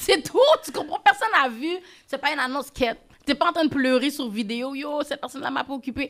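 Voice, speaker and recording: Lively intonation carries speech that comes at a fairly quick pace. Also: woman, high pitch for a woman. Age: young. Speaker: influencer and podcaster. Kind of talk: casual interview.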